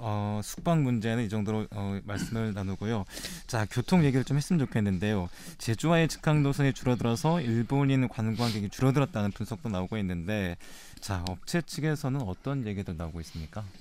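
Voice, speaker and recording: With a normal speaking voice, a man at a fairly low pitch speaks at a fairly quick pace with lively intonation. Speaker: debate moderator. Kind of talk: panel debate. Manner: formal.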